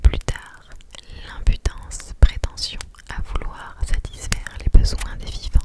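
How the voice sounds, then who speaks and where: A woman whispers at a very slow pace. Background noise is noticeable. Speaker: ASMR creator. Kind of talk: whispered ASMR book reading by the fire. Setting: studio with close microphone. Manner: whispered, soft, slow.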